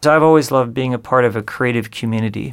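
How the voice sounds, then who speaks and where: A man with an American accent speaks in a normal speaking voice. His pitch is medium and his intonation fairly even. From Southern California. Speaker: music video director. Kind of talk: interview.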